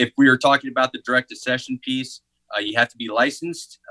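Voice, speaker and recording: There is a quiet background behind a man speaking with an American accent. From Northeast Missouri, US Midwest. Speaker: army medical recruiter. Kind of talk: interview. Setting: video call. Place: office. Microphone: video call.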